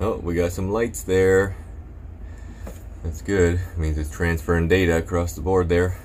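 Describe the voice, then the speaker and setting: A man with a very deep, low pitch and an American accent, at a moderate pace, with audible room echo. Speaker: boat electronics installer. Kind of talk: casual tutorial narration. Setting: on a boat at a marina.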